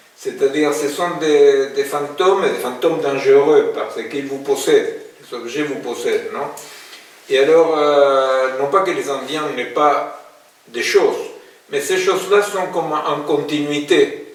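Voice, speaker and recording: Over noticeable background noise and audible room echo, a man speaks very slowly, his loudness swinging widely. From Argentina, Buenos Aires. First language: Spanish (speaking French). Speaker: philosopher and psychoanalyst. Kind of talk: public talk. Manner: hesitant, many fillers.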